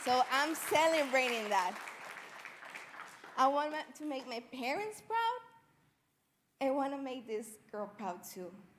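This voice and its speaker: A woman's high voice in a Spanish accent, with very wide pitch swings and a fairly slow pace full of long, frequent pauses, with crowd noise behind her and audible room echo. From Mexico, Jalisco. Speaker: Spanish teacher, student storyteller. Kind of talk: personal storytelling speech. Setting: stage with audience.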